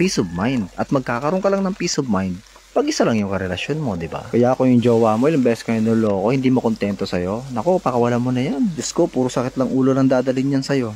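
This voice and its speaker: A man's very fast delivery with lively intonation. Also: medium pitch for a man, hardly any pauses. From Philippines, Bicol region. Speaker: cooking vlogger. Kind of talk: casual cooking vlog chat. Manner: gossipy chatty tone.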